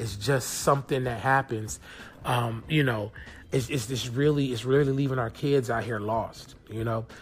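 A man talks at a moderate pace in a normal speaking voice. His pitch is medium and his intonation fairly even. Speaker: podcast host. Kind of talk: casual solo podcast monologue. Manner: casual, conversational, filler-heavy.

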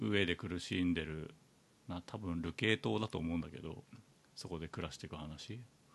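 At a moderate pace, a man with a very deep, low pitch and vocal fry talks with ordinary pitch variation. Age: 40s. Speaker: podcast host. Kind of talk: casual chat.

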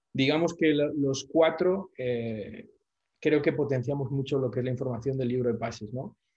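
A man talks at a medium pitch in a dark, mellow tone. His voice is somewhat breathy. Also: ordinary pitch variation, moderate pace. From Spain. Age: 40s. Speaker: football social media commentator. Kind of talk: casual interview chat.

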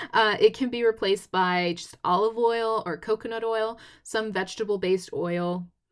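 Here is a woman with an unremarkable speaking voice and an American accent, keeping her intonation fairly even. She talks at a moderate pace on a very clean recording with a silent background. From Texas. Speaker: podcast host. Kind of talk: casual solo podcast talk.

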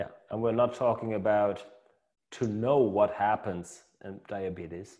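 Delivered in a German accent at a fairly slow pace, this dark, mellow voice keeps a fairly even intonation while its loudness swings widely. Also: man, fairly low pitch for a man. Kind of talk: casual interview. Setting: video call. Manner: halting.

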